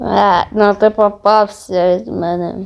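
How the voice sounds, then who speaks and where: A man uses a put-on character voice at a high pitch. He speaks at a fairly slow pace. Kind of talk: comic amateur fan dub. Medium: fan dub. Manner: loud, exclamatory, comic overacting.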